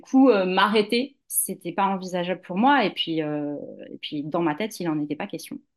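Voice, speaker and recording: A woman speaks at a moderate pace in an ordinary speaking voice, medium in pitch with lively intonation. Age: 40s. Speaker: yoga teacher and doula. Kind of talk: interview testimony.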